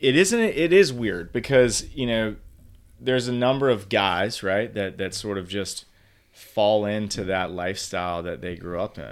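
With an American accent, the speaker has a plain, everyday voice, a moderate pace, ordinary pitch variation and big swings in loudness. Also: man, fairly low pitch for a man. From Virginia. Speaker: father. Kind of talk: casual chat.

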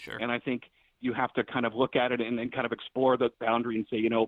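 This man speaks with an American accent. His pace is very fast. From Texas, Dallas. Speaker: film critic. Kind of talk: casual chat. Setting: home basement office, remote.

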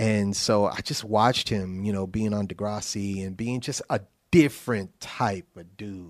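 A man with a fairly low voice speaks at a fairly slow pace, his intonation fairly even but his loudness swinging widely, an unremarkable speaking voice. The recording is very clean, with a silent background. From New Haven, Connecticut. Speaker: songwriter and music producer. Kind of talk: casual interview.

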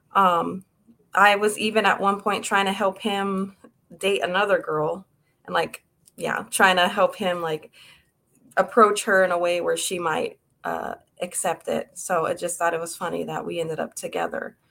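A woman with an American accent speaks at a moderate pace in a medium pitch, her intonation fairly even and her voice showing vocal fry. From Texas, Houston area. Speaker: abuse survivor and author. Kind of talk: personal testimony interview.

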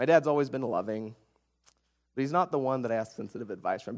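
A man with an American accent. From rural Oklahoma (Ada). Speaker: guest preacher. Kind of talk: sermon.

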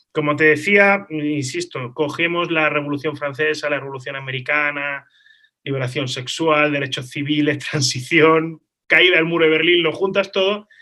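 A man with a bright, sharp tone, fairly high pitch and fairly even intonation at a moderate pace, on a very clean recording with a silent background. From Spain, Málaga. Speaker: lawyer and international relations professor. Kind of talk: interview conversation. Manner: halting, with frequent repetitions.

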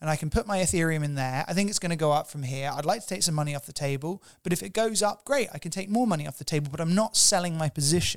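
A man at a very fast pace, hardly any pauses, ordinary pitch variation. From England, Cornwall. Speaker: tech company CEO. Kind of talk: interview. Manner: halting, repeats words.

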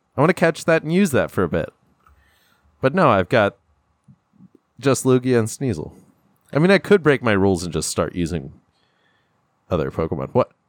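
A man at medium pitch with vocal fry, very wide pitch swings, a fairly quick pace, long, frequent pauses and a dry, close sound with no echo. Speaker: podcast host. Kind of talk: casual chat. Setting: studio.

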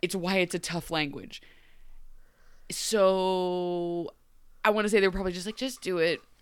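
A woman speaks in a Midwestern accent with an animated tone. Her delivery has long, frequent pauses. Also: medium pitch for a woman, ordinary pitch variation, moderate pace, very clean recording, silent background. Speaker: podcast host. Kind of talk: casual chat.

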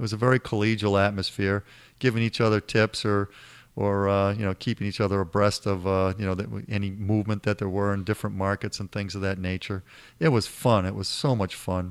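A man with a Boston accent, fairly low-pitched and fairly quick, with fairly even intonation on a very clean recording with a silent background. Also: dry, close sound with no echo. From Boston area. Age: 60s. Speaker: financial advisor, former futures trader. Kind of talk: interview. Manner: halting, frequent repetitions.

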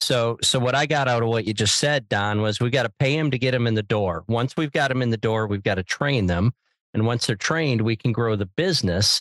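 A man talks at a fairly quick pace in a plain, everyday voice, at medium pitch with ordinary pitch variation. The sound is dry and close with no echo. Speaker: podcast host, pizza consultant. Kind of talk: casual interview.

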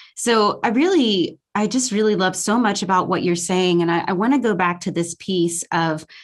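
A woman talks in an unremarkable speaking voice with an American accent. Her pace is moderate, and her pitch variation is ordinary. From US South. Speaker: wellness podcast host. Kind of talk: casual interview chat.

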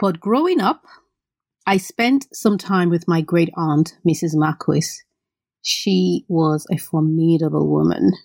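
A woman's fairly low voice with vocal fry, a slightly mellow tone, ordinary pitch variation and a slow pace.

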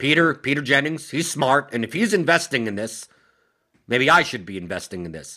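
A man's bright, sharp voice carries vocal fry and very wide pitch swings. His loudness swings widely too. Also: fairly high pitch for a man. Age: 40s. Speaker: podcast host. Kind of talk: casual chat.

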